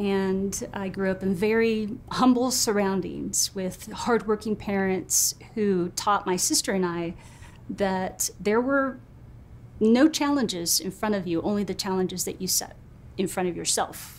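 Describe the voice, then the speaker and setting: A fairly slow pace with ordinary pitch variation. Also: woman, medium pitch for a woman. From rural California, US. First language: Spanish. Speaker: retired retail executive. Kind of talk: interview.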